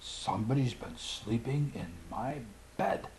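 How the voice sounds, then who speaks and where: A man does a put-on character voice, growling at a medium pitch and a fairly slow pace, with light background noise. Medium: read story.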